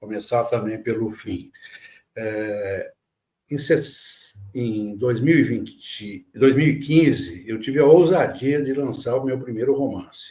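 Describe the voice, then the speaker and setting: A man talks very slowly in a somewhat breathy voice with ordinary pitch variation. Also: medium pitch for a man. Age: 70s. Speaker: writer and editor. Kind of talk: interview conversation. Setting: podcast.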